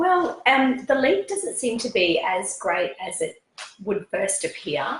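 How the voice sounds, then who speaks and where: The speaker talks at a fairly slow pace in an Australian accent. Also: woman. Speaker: fashion stylist. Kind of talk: interview. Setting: sitting on a sofa at home. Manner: hesitant with fillers.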